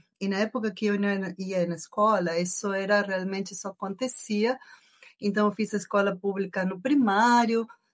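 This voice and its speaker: A woman at a medium pitch and moderate pace, with fairly even intonation. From Argentina. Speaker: engineering professor. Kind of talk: podcast interview.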